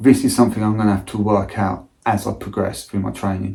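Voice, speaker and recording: A man with a British accent and a fairly low voice. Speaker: amateur ultra runner. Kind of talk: casual talk to camera. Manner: monotone.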